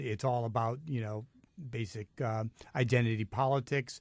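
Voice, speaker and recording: On a very clean recording with a silent background and a dry, close sound with no echo, a man with an American accent uses an unremarkable speaking voice at a medium pitch with ordinary pitch variation. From New York City. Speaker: radio host. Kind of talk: talk radio discussion. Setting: radio studio.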